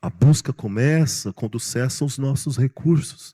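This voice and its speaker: The voice has a dark, mellow tone, somewhat breathy, with lively intonation at a very slow pace, recorded very cleanly against a silent background with a dry, close sound and no echo. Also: man. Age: 60s. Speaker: pastor. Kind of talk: sermon. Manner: animated.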